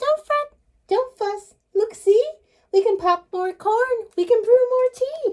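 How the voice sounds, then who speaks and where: A woman uses a squeaky, put-on character voice at an extremely high pitch. Her pace is fairly slow. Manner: soothing, reassuring.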